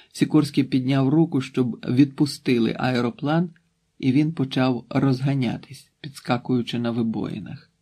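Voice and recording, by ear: Someone reads aloud in a natural voice, and the background is quiet.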